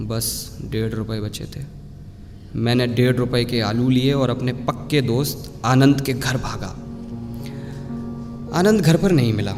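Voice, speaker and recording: A man's medium-pitched voice with fairly even intonation over music in the background. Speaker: voice over artist. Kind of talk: first-person story narration.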